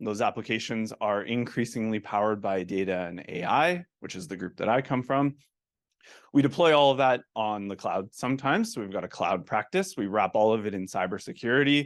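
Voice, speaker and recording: A man with a Canadian accent and an unremarkable speaking voice talks at a medium pitch with lively intonation. He moves at a fairly quick pace over a quiet background. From Calgary, western Canada. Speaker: technology executive and conference speaker. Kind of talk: conference talk. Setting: stage with audience. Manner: casual, many fillers.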